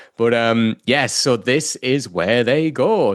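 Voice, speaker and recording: A man with a British accent speaks in an animated tone with lively intonation against a quiet background. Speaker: podcast co-host. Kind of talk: casual chat.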